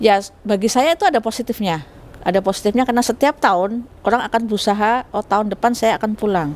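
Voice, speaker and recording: A very fast-paced woman's voice, fairly high in pitch, with ordinary pitch variation. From Central Java (Solo). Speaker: sociology lecturer, faculty vice dean. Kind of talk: interview, academic explanation. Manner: conversational, with frequent fillers.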